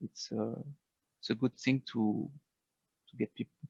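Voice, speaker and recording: A man speaks at a medium pitch with a French accent, his intonation monotone and flat. The pace is moderate, and the sound is dry and close with no echo. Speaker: game designer. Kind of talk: interview. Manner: halting, many fillers.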